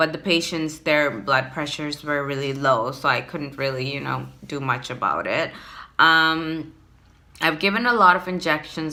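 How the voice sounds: A woman speaks at a fairly slow pace in a low pitch with a bright, sharp tone. Her intonation stays fairly even.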